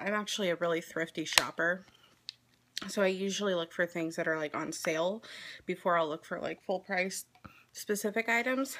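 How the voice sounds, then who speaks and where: Quiet and at medium pitch, a woman talks at a fairly quick pace with ordinary pitch variation and long, frequent pauses, over noticeable background noise. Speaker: beauty vlogger. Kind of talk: casual get-ready-with-me vlog.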